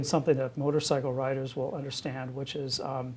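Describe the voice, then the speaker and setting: Somewhat breathy and fairly high-pitched, a man speaks in a flat monotone. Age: 60s. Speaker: university president and physician. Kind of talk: oral history interview. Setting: office. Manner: hesitant, many fillers and repetitions.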